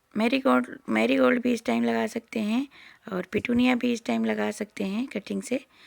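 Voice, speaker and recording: The speaker's pitch swings very widely at a fairly slow pace. The recording is very clean, with a silent background. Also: woman. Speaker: gardening vlogger. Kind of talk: garden tour vlog.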